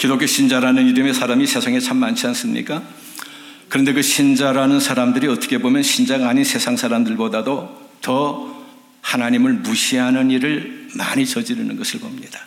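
A man speaks at a moderate speed in a room with audible echo and noticeable background noise. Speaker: retired pastor and missionary. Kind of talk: sermon. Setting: church.

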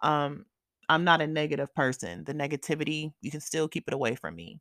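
Vocal fry runs through the fairly quick speech, heard in a dry, close sound with no echo. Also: woman. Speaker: podcast host. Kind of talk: casual solo update chat. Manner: casual, candid, informal; stutters at times, unedited.

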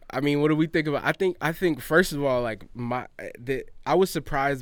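A man with a normal speaking voice and an American accent, medium pitch, ordinary pitch variation and a moderate pace. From US South. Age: 20s. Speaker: podcast host. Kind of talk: casual chat.

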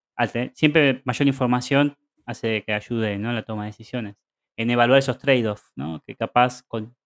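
With an Argentine accent, a man speaks at a moderate pace in a medium pitch with fairly even intonation, the sound dry and close with no echo. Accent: Argentine Spanish (Rioplatense). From Argentina. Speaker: podcast co-host. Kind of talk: casual chat.

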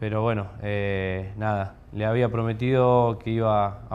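Flat and monotone, a man's voice stays at a fairly low pitch. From Argentina, southern Córdoba province (small town). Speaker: professional footballer. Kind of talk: interview. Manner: halting, many repetitions.

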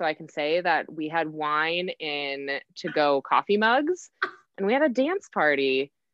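A woman speaks fairly slowly in a fairly low pitch with an American accent, her intonation lively. She has a plain, everyday voice. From Wisconsin. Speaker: guest sharing chronic illness story. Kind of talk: casual interview chat.

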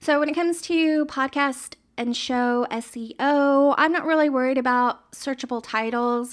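Hardly pausing, a woman with a high pitch speaks in a very clean recording with a silent background. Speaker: solo podcaster. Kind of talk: casual solo monologue. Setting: home office, on camera. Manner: slow, sluggish.

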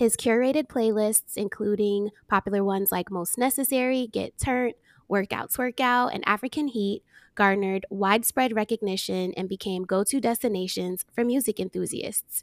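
On a very clean recording with a silent background and a dry, close sound with no echo, a woman with an American accent talks in an ordinary speaking voice at a fairly high pitch and moderate pace, with ordinary pitch variation. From New Jersey, US. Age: 30s. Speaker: podcast host. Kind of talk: casual interview chat; scripted introduction.

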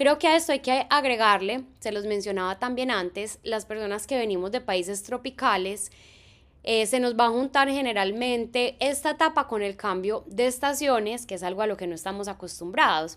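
A woman's ordinary speaking voice, fairly high in pitch with ordinary pitch variation, at a moderate pace, on a very clean recording with a silent background. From Colombia, Medellín. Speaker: teacher and podcast host. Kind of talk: solo podcast narration.

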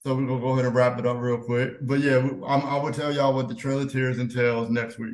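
Speaking very fast with hardly any pauses, a man holds a medium pitch in monotone, flat intonation. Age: 30s. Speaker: podcast co-host. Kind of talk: casual chat.

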